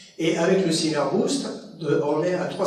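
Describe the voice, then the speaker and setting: In a room with audible echo, a man with a fairly high pitch speaks at a fairly slow pace. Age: 70s. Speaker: lecturer. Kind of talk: lecture.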